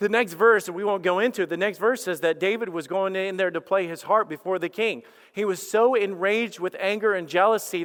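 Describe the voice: Simple reading aloud, nothing more.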